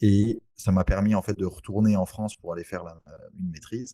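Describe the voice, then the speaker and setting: A man at a moderate pace. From French Antilles (Saint-Barthélemy). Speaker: real estate investor. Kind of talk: interview. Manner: halting.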